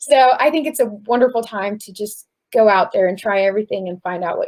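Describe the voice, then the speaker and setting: A woman's voice with ordinary pitch variation at a fairly quick pace. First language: not English. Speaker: college student. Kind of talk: panel discussion.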